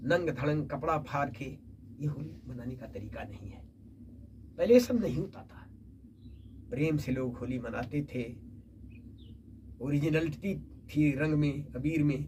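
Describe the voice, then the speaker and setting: With audible room echo, a man of fairly high pitch and ordinary pitch variation speaks with big swings in loudness and long, frequent pauses. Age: 70s. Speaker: poet. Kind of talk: interview.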